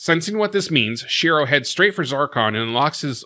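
The voice has a bright, sharp tone, lively intonation and a fairly quick pace. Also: man, quiet background. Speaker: recap host. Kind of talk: episode recap narration. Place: home room. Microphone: studio mic.

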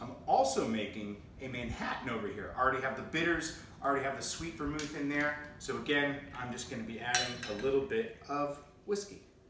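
A speaker with an American accent uses ordinary pitch variation, with audible room echo and noticeable background noise. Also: man, fairly quick pace. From New Hampshire, USA. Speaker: cocktail coach and voice-over artist. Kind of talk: casual talk to camera, cocktail tutorial. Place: home room. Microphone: camera far.

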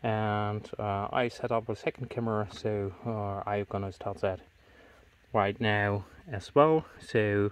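A man with a fairly low pitch, slow pace, clear, smooth tone and fairly even intonation

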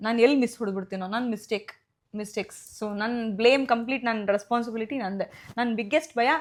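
A high-pitched woman on a very clean recording with a silent background. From India, Bengaluru. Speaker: actress. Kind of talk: interview.

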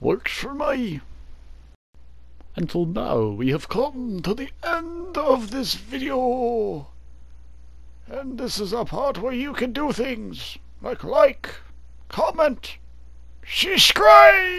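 A man puts on a character voice at an extremely high pitch, with very wide pitch swings. He talks at a very slow pace, with long, frequent pauses. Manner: silly, put-on, cheerful.

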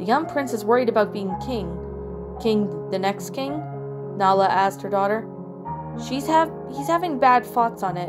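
Music in the background behind a woman talking at a moderate pace. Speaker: story narrator. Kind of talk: story reading.

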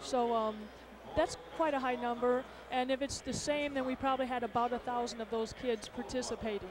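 Noticeable background noise sits behind a woman whose high-pitched voice keeps a fairly even intonation. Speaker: sports association administrator. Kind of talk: interview. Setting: arena broadcast booth. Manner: halting.

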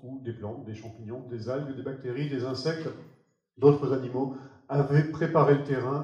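Dark, mellow male voice at a moderate pace with strong room echo.

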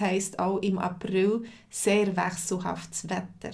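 Over a quiet background, a woman talks at a very slow pace with vocal fry and fairly even intonation. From Switzerland. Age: 40s. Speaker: language teacher. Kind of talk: live lesson. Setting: livestream.

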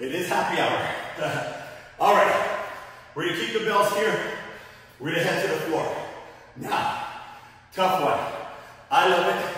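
The speech moves at a moderate pace. Strong room echo is heard. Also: man. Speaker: fitness instructor. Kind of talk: workout instruction. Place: gym.

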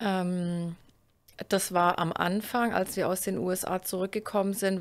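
Over a quiet background, a woman speaks with monotone, flat intonation. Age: 30s. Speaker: plant biologist, research group leader. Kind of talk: casual interview chat. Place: office. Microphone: studio mic.

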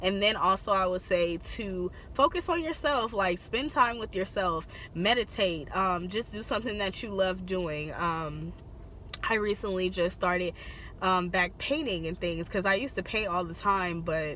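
Over light background noise, a woman speaks at a moderate pace with ordinary pitch variation, and the sound is dry with no echo. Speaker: beauty vlogger. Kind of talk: casual vlog chat. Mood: supportive, reflective. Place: car. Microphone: phone near.

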